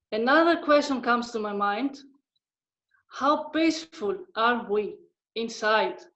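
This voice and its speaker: A woman with a non-native accent speaks at a fairly slow pace in a high voice, her intonation lively and her speech broken by long, frequent pauses. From Greece, Thessaloniki. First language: Greek. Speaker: discussion participant. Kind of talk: group discussion. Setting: video call. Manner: slow, careful.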